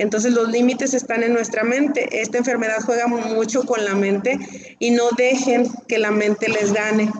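Against noticeable background noise, a woman with a fairly high pitch talks at a moderate pace in a monotone, flat intonation. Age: 40s. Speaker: breast cancer patient. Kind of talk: testimony.

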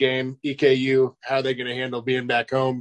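A man with an American accent has an ordinary speaking voice at medium pitch and a moderate pace. The sound is dry and close with no echo, over a quiet background. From Kansas. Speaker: sports podcast co-host. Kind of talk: casual sports talk. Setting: video call.

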